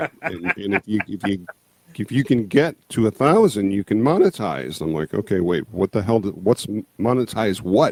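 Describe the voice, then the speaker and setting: A fairly low-pitched male voice at a moderate pace, with lively intonation and a dry, close sound with no echo. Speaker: YouTube creator on movies, music and monsters. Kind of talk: casual interview.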